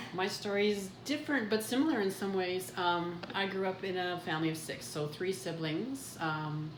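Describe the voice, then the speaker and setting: A woman with a Canadian Prairie accent talks at a moderate pace with ordinary pitch variation, amid audible room echo and noticeable background noise. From Canada, southern Manitoba. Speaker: podcast co-host. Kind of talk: casual conversation, personal life story.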